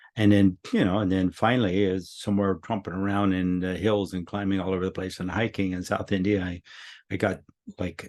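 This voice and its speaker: Against a quiet background, a man with a very deep, low voice talks at a fairly quick pace with fairly even intonation. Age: 80s+. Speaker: teacher of human potential. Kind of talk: monthly teaching talk. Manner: casual, conversational.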